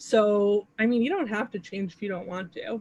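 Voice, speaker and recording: A woman talks at a moderate pace in a fairly high, somewhat breathy voice with ordinary pitch variation. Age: 30s. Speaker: astrology teacher. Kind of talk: workshop. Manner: casual.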